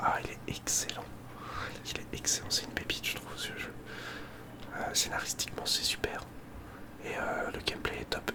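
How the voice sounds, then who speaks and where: Someone whispers at a moderate pace with long, frequent pauses. Noticeable background noise can be heard. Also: man. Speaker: ASMR content creator. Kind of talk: casual ASMR chat, whispered. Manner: whispering, soft-spoken.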